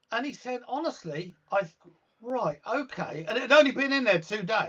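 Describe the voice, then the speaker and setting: Here is a man with a British accent. His pitch is extremely high. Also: lively intonation, moderate pace. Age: 60s. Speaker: guitarist and music teacher. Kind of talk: casual interview chat.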